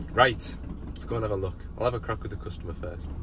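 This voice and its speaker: A man with a northern English accent. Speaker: plant mechanic. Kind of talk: vlog narration while working. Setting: outdoors on site. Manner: casual.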